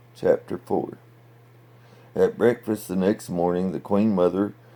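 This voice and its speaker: With a dark, mellow tone and vocal fry, a man talks at a moderate pace with ordinary pitch variation. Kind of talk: bedtime story reading.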